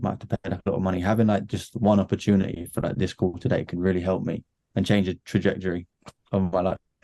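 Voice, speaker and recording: A man with a British accent, very deep low pitch and dark, mellow tone, at a very fast pace with fairly even intonation, in a dry, close sound with no echo. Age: 20s. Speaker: marketing agency owner. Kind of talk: casual chat. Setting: video call.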